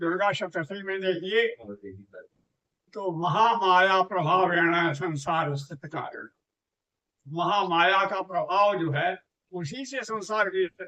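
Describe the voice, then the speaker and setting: A raised, projected voice carries ordinary pitch variation, broken by long, frequent pauses. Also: man, high pitch for a man. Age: 80s+. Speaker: scholar of scriptures and Sanskrit. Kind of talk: religious teaching in conversation.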